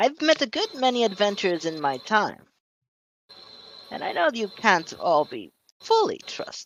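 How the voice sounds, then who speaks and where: In a put-on character voice, a man cackles at a high pitch and a fairly slow pace. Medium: actual play. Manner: slow, musing, cackling.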